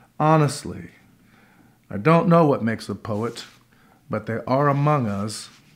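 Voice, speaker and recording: A gravelly man speaks in a theatrical tone at a fairly slow pace, with lively intonation and long, frequent pauses. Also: medium pitch for a man, quiet background. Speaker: performance poet and actor. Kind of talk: poem performed. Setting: living room concert with audience. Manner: gritty, rhythmic, theatrical delivery. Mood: wry, sardonic, deliberate. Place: home room.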